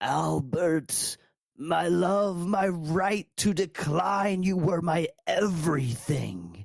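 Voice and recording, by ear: Very slowly, the speaker drags through lines in a put-on character voice.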